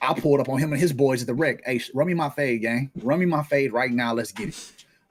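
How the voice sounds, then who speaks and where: A man's animated voice at a fairly quick pace, with ordinary pitch variation. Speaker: streamer. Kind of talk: casual chat. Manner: loud.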